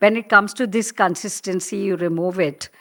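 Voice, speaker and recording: In a very clean recording with a silent background, a woman with a Tamil accent speaks at a fairly slow pace with ordinary pitch variation. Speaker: professional storyteller. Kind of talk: interview. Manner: hesitant, many fillers.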